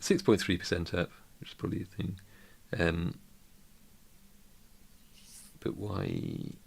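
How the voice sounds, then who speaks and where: A man's put-on character voice, very deep and low, mumbling at a fairly slow pace with long, frequent pauses and big swings in loudness. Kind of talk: casual, thinking aloud while reading.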